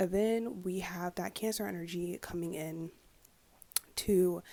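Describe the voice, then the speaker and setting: A woman speaks in a dark, mellow tone. Her pitch is fairly low. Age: 20s. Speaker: psychic tarot reader and astrologer. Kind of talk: ASMR astrology forecast to camera. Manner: soft-spoken, casual.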